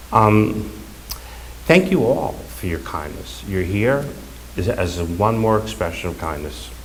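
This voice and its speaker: The voice moves slowly, with very wide pitch swings and long, frequent pauses. Noticeable background noise and audible room echo fill the recording. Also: man, very deep, low pitch for a man. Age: 60s. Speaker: son giving eulogy. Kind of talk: eulogy. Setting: funeral service. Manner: halting.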